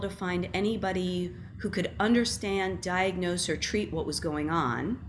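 Speaking at a moderate pace with vocal fry and ordinary pitch variation, a woman is heard over light background noise. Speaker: guest. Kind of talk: interview answer. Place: home room. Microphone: webcam.

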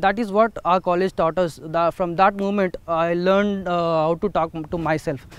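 A man with a Telugu accent and a high pitch, fairly even intonation, a moderate pace, hardly any pauses and a dry sound with no echo. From India, Telugu-speaking rural area. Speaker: alumnus and startup founder. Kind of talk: testimonial. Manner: hesitant, many fillers. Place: open country.

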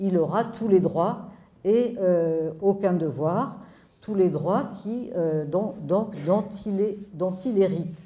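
Her medium-pitched voice has a dark, mellow tone and ordinary pitch variation, and the woman speaks at a very slow pace. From France. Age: 70s. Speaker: sociologist; speaker. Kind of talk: public talk. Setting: stage with audience. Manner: animated. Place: hall. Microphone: handheld.

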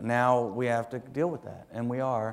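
This is a plain, everyday voice. It moves at a moderate pace. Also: man. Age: 40s. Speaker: city council member. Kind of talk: speech. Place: hall. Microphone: lapel.

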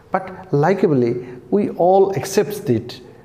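The man's intonation is lively as he talks. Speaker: literature teacher. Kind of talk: lecture. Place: home room.

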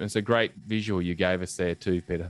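A speaker with an Australian accent talks at a fairly quick pace in a monotone, flat intonation. The sound is dry, with no echo. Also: man. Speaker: podcast host. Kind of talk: interview. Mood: warm, engaged. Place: home room. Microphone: studio mic.

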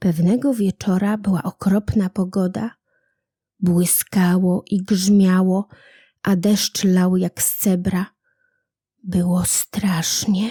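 On a very clean, dry, close recording with a silent background and no echo, a woman speaks very slowly at medium pitch in a dark, mellow, warm tone, somewhat breathy and monotone, with flat intonation. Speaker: audiobook narrator. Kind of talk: bedtime story reading of a fairy tale, gentle storyteller's narration. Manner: soft, warm and unhurried, with storyteller's intonation.

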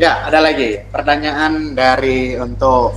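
Light background noise sits behind a man speaking at a fairly high pitch. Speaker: student moderator. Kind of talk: event MC. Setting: video call. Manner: formal, upbeat. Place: home room. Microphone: webcam.

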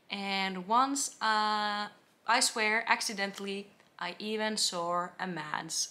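Very slowly, a woman speaks with a Finnish accent, her tone bright and sharp and her intonation fairly even. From Finland. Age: 20s. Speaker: travel vlogger. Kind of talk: vlog monologue. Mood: light, amused. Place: home room.

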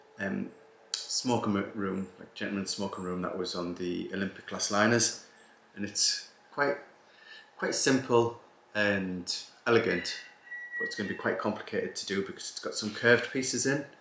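Heard with audible room echo and light background noise, a man talks at a moderate pace with long, frequent pauses. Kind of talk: casual vlog chat. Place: home room.

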